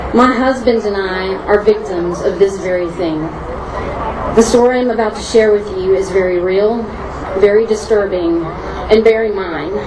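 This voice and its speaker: Speaking in a Southern US accent at a moderate pace with fairly even intonation, the voice comes through noticeable background noise and audible room echo. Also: woman, medium pitch for a woman. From Tennessee, Nashville. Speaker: crime victim speaking at rally. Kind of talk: rally speech.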